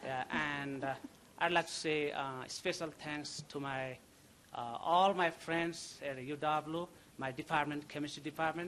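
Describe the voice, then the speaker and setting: With a Nepali accent, this man talks fairly slowly in a fairly high pitch, his tone bright and sharp and his intonation fairly even. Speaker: graduating chemistry student. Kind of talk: graduation thank-you speech. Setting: ceremony with audience. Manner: halting.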